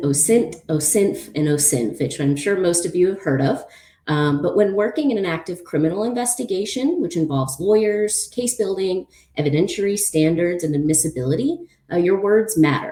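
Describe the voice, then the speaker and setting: A woman speaks at a medium pitch in a dark, mellow tone, her pitch swinging very widely. Audible room echo hangs around her voice. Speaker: open source investigator. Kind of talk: conference talk. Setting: conference presentation. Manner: fast; hesitant with many fillers.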